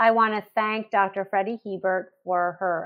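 A woman with an unremarkable speaking voice talks at medium pitch. Her pace is moderate and her pitch varies in an ordinary way. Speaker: curriculum executive. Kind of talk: closing remarks.

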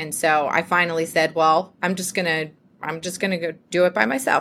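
A woman with an American accent at a moderate pace, bright and sharp in tone, on a very clean recording with a silent background. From US South, Georgia. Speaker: TV legal correspondent. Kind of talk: interview.

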